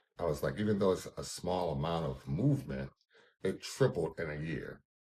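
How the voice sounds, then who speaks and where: A man talks at a fairly quick pace, with vocal fry in his voice. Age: 50s. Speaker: caregiver, cancer survivor. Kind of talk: testimony.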